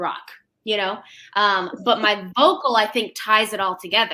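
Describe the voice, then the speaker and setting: A woman in an American accent at a moderate pace, medium in pitch, bright and sharp in tone, with fairly even intonation. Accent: natural twang. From US Midwest, St. Louis. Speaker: country music singer. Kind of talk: casual interview chat.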